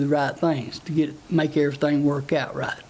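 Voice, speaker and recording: Speaking with a Tennessee accent, a man uses a fairly high pitch and a monotone, flat intonation. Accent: rural Southern US (Tennessee). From US South, Tennessee (Palmer, Grundy County). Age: 60s. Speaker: political candidate. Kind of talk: interview. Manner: halting, many fillers.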